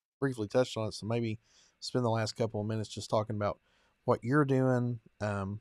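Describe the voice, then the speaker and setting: On a very clean recording with a silent background and a dry, close sound with no echo, a man with a strong Kentucky accent talks at a fairly quick pace and medium pitch with fairly even intonation. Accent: strong rural Kentucky. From eastern Kentucky, US. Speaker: podcast host and preacher. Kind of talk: interview conversation.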